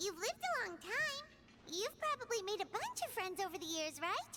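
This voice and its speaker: A squeaky, put-on character voice at an extremely high pitch talks in a cheerful tone at a moderate pace over loud background noise. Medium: video game. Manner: cheerful, friendly.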